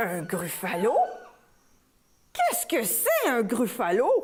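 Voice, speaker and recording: Using a put-on character voice, a woman speaks at a fairly high pitch and a fairly slow pace, with audible echo. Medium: read story.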